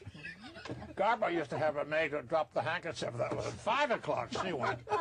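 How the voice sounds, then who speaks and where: Amid noticeable background noise, a man speaks at a moderate pace in a fairly high pitch with very wide pitch swings. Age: 80s+. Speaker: actor. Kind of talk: interview answer. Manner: engaging, humorous.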